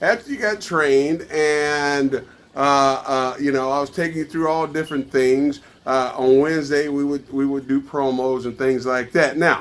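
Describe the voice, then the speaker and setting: In an American accent, a man talks at a moderate pace with fairly even intonation. He has an ordinary speaking voice, fairly high in pitch. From New York. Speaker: podcast host and retired pro wrestler, wrestling trainer. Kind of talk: casual interview.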